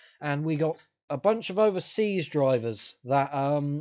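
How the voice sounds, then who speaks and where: The man's tone is dark and mellow, set against a quiet background. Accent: British. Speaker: podcast host. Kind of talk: casual chat. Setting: live stream. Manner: halting.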